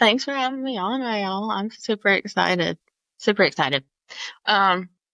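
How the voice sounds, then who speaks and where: The speaker has a Southern US accent, a bright, sharp tone and lively intonation at a moderate pace. The recording is very clean with a silent background and a dry, close sound with no echo. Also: woman, medium pitch for a woman. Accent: Southern US (Georgia). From Georgia, Atlanta area (US South). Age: 30s. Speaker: cancer survivor and advocate. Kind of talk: interview.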